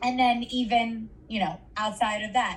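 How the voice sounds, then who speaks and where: Over noticeable background noise, a woman with an American accent talks at a moderate pace and a fairly high pitch. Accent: Brooklyn accent, comes out when fired up. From New York, Brooklyn. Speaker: kindergarten teacher. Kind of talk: group discussion sharing.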